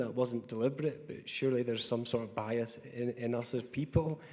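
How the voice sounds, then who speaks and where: At a fairly quick pace, a man with a Scottish accent speaks in a medium pitch. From Scotland. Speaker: tech company executive. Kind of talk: panel discussion. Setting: conference panel in a hotel.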